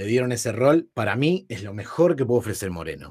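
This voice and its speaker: Using lively intonation and an unremarkable speaking voice, a man talks at a fairly quick pace. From Buenos Aires northern suburbs, Argentina. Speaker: podcast co-host. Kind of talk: casual chat.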